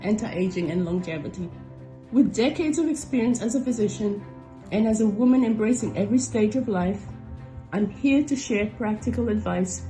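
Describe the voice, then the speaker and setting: Over music in the background, a woman with a fairly high pitch talks at a fairly quick pace with lively intonation. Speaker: family doctor and podcast host. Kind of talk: podcast intro read.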